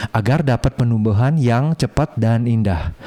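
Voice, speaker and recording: Noticeable background noise surrounds a man with a non-native accent. His pitch is medium, with ordinary variation. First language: not Indonesian (speaking Indonesian). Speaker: plant video creator. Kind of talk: video tour narration. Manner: halting; animated.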